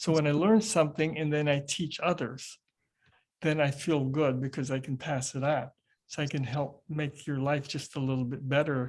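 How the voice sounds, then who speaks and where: In a very clean recording with a silent background, a man with a fairly high, somewhat breathy voice speaks at a moderate pace with fairly even intonation. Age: 70s. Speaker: qigong teacher and retired professor. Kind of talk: interview conversation.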